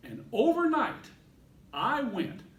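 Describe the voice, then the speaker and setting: A man is speaking in a space with audible room echo. Noticeable background noise is present too. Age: 60s. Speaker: Toastmasters club speaker. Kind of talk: prepared speech.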